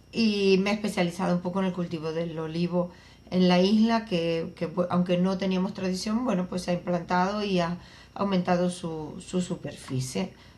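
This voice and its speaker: At a moderate pace, a woman speaks with a fairly low pitch and fairly even intonation. Her voice is somewhat breathy. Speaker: agricultural researcher. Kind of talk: interview.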